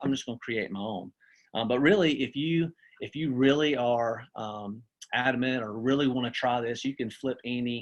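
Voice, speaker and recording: Speaking with a Southern US accent, a man keeps his intonation fairly even. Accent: country-sounding Southern US. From US South. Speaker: teacher and assistant principal. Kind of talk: webinar presentation. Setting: video call. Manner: casual, with many fillers and restarts.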